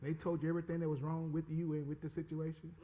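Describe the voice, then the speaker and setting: The speech is loud and fairly quick. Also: man. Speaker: pastor. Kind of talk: sermon. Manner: animated.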